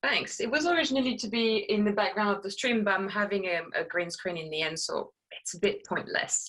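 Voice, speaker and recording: Speaking at a fairly quick pace with hardly any pauses, a woman with a French accent uses lively intonation at a medium pitch. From France. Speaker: sim racer and streamer. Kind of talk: casual interview. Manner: halting.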